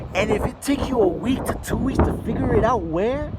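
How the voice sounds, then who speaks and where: Moderate-speed speech from a man, set in audible room echo and noticeable background noise. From Mexico. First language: Spanish. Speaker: business owner vlogger. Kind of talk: casual vlog monologue. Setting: gym.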